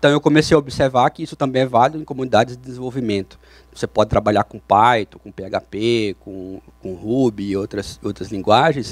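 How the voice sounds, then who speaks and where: In a very clean recording with a silent background and a dry, close sound with no echo, a man with a Brazilian accent speaks at medium pitch and a fairly quick pace. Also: ordinary pitch variation, big swings in loudness. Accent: non-Curitiba Brazilian. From Brazil, not Curitiba. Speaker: software developer, conference speaker. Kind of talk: conference talk. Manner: hesitant, with repetitions and fillers.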